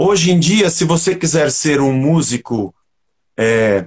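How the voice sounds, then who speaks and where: Fairly high in pitch, a man's voice swings very widely up and down. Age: 50s. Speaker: rock musician and pastor. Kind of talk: casual interview chat.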